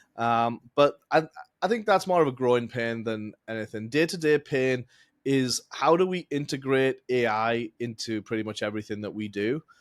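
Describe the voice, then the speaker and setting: With an English accent, this speaker talks at a moderate pace and with ordinary pitch variation. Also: man, medium pitch for a man. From England. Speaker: accounting firm founder, tax strategist. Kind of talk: podcast interview.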